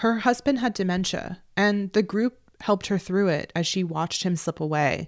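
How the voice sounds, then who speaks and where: An ordinary speaking voice with an American accent, at a moderate pace with ordinary pitch variation, in a very clean recording over a silent background. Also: woman, medium pitch for a woman. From New Jersey. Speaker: radio journalist. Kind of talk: scripted narration.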